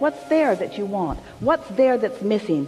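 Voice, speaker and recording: Music plays in the background while a man talks at a moderate pace. His pitch swings very widely. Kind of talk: spiritual teaching session answering audience questions, Law of Attraction talk. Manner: conversational, explanatory, repeated rhetorical questions.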